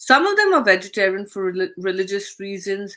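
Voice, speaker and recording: A woman with an Indian accent and a bright, sharp tone speaks at medium pitch and a moderate pace. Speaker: expat coach and platform founder. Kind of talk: casual talk to camera.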